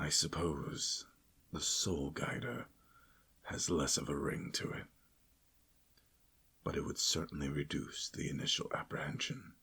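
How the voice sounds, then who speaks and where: A man whispers in a put-on character voice at a moderate pace. Long, frequent pauses break up his speech. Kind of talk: ASMR roleplay. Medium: role play. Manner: playful, polite, rambling.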